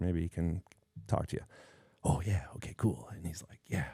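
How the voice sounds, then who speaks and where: A man with an American accent talks at a very fast pace in a very deep, low pitch, with a dark, mellow tone, vocal fry, and a dry, close sound with no echo. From Chicago South Side. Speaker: cinematographer. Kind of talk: casual interview chat.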